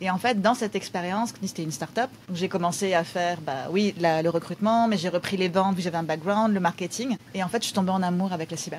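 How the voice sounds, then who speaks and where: A woman at medium pitch rushes along at a very fast pace with hardly any pauses, over noticeable background noise. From France. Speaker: cybersecurity company co-founder. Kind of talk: podcast interview. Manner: animated.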